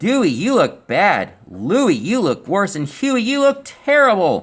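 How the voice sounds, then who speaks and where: At a fairly slow pace, a man performs a put-on character voice at a high pitch. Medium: read story.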